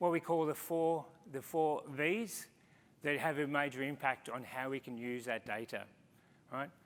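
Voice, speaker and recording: A man with an Australian accent speaks at a moderate pace on a very clean recording with a silent background. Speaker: conference speaker, engineer in business development. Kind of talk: conference talk.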